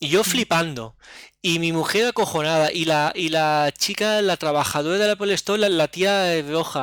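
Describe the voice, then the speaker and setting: A man's fairly high voice at a moderate pace, with a dry, close sound, no echo, and a very clean recording over a silent background. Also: ordinary pitch variation. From Oliva, Valencia region, Spain. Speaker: tech podcaster. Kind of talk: casual chat.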